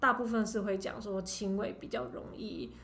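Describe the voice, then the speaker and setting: There is audible room echo around this woman's voice. She speaks at a moderate pace with a fairly high pitch. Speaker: pediatrician. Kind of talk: interview.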